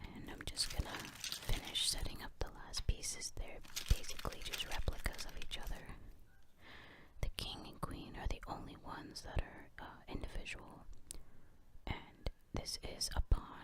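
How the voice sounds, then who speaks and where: Someone whispers with long, frequent pauses. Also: moderate pace. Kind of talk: ASMR chess tutorial. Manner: whispered.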